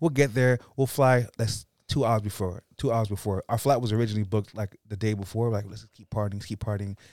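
A man talks very fast and at a fairly low pitch, with hardly any pauses, fairly even intonation and big swings in loudness. The recording is very clean with a silent background, and the sound is dry and close with no echo. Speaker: stand-up comedian. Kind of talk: casual chat. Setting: studio. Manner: stutters at times; fast talker.

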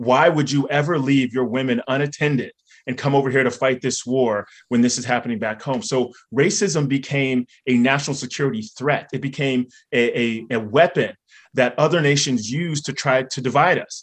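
In a quiet background, a man with an unremarkable speaking voice talks at a moderate pace, at a medium pitch with ordinary pitch variation. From North Carolina, Raleigh. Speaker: author and scholar. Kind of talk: panel discussion. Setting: stage with audience.

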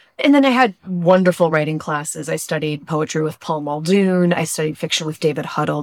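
On a very clean recording with a silent background, a woman with a very deep, low pitch speaks at a fairly quick pace with ordinary pitch variation. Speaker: novelist. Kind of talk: interview.

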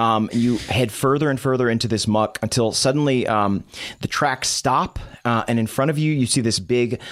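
A man at medium pitch talks at a moderate pace with ordinary pitch variation. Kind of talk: dramatic narration of a tabletop role-playing game, scene-setting description. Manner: vivid, atmospheric, descriptive storytelling with hesitant, improvised pacing.

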